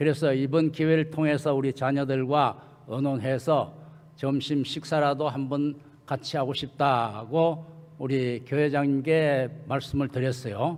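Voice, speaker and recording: A man's fairly high voice, fairly slow and monotone, with flat intonation. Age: 80s. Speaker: retired church leader. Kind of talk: speech. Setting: church. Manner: halting.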